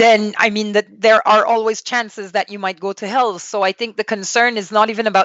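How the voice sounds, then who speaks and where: A woman speaks in a Quebec accent at medium pitch. Her intonation is fairly even. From Quebec, Canada. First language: French. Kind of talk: interview testimony.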